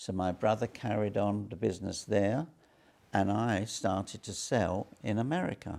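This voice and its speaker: With an English accent, a man speaks fairly low at a moderate pace, his pitch varying in an ordinary way. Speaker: entrepreneur. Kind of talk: interview.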